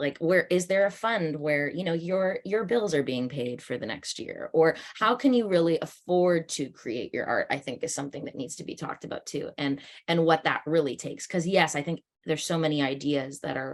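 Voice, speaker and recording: With a Canadian accent, a plain, everyday voice moves at a fairly quick pace with lively intonation. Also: woman, fairly low pitch for a woman. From Canada, Toronto. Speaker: actor and director. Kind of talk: panel discussion.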